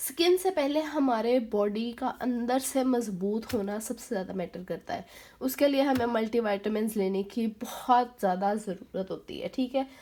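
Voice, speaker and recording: A woman with a fairly high pitch talks very slowly. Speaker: beauty vlogger. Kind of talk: tutorial. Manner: casual, hesitant with fillers.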